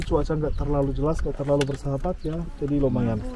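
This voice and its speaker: This man has a fairly high voice. He talks at a very fast pace. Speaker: tour guide. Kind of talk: guided tour talk.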